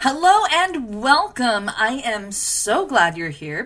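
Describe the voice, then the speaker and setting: The voice is raised and projected, with a bright, sharp tone. It sounds enthusiastic. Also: woman. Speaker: marketing consultant for dentists. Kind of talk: webinar training presentation.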